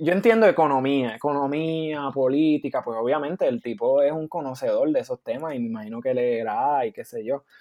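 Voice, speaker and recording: In an ordinary speaking voice, a man with a fairly high pitch talks at a moderate pace. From Puerto Rico. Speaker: podcast co-host, university student. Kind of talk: casual chat.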